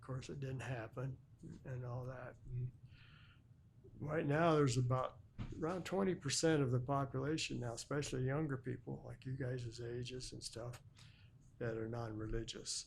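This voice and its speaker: A man with an American accent speaks at a moderate pace and medium pitch, somewhat breathy, with fairly even intonation and long, frequent pauses. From Illinois, USA. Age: 80s+. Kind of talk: interview answer.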